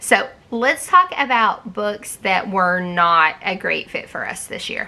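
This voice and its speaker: A woman with a medium-pitched, bright, sharp voice speaks at a very slow pace. Her pitch varies in an ordinary way while her loudness swings widely. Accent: strong Southern US. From US South. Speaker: homeschool vlogger. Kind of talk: book review vlog. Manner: casual, conversational.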